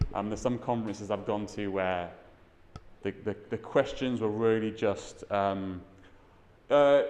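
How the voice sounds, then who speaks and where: Fairly slow delivery with a British accent and ordinary pitch variation. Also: man. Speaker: tech conference speaker. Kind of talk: talk to an audience. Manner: mumbling.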